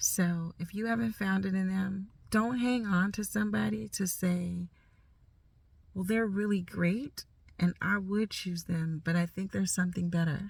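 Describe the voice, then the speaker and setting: A somewhat breathy woman's voice at medium pitch, moderate pace, and fairly even intonation. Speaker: life coach vlogger. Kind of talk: casual talk to camera. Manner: informal, unedited, some stumbling.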